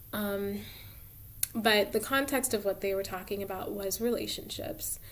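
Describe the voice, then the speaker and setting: A woman's medium-pitched voice varies in an ordinary way as she talks at a moderate pace. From suburban US, Cameroonian immigrant parents. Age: 20s. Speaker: tarot reader, video creator. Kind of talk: casual monologue. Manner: hesitant, many fillers.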